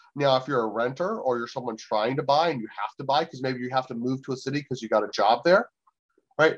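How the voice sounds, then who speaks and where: A man rattles along very fast, keeping a medium pitch and ordinary pitch variation. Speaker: economist. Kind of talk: interview.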